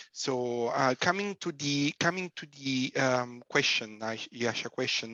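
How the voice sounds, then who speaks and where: A man speaks at a fairly slow pace in a fairly high pitch with ordinary pitch variation. The background is quiet, and the sound is dry and close with no echo. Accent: Italian. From southern Italy. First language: Italian. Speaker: physicist with PhD. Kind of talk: panel talk on careers. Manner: talkative, halting with fillers.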